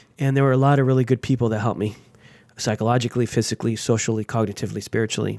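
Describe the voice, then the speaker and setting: A man speaks at a very fast pace. The sound is dry and close with no echo, and the recording is very clean, with a silent background. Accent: American. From Los Angeles, US. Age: 40s. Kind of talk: interview conversation. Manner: animated.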